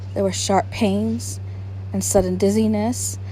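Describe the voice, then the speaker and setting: A woman speaks at a fairly slow pace in a very deep, low voice. Noticeable background noise runs behind her. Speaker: ASMR reader / narrator. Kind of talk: soft-spoken ASMR literary reading. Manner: soft-spoken, quiet.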